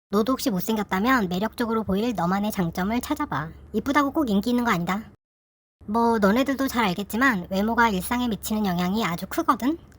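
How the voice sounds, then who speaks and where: Over a silent background in a very clean recording, a woman with a fairly high pitch speaks at a fairly quick pace, somewhat breathy and with lively intonation. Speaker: YouTuber sharing personal story. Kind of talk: casual personal talk to viewers. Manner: informal, conversational.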